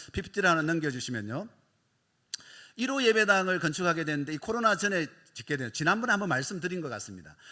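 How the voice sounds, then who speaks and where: Delivered at a very fast pace, the speech has long, frequent pauses and very wide pitch swings. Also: man, high pitch for a man. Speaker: missionary. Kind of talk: mission report in church service.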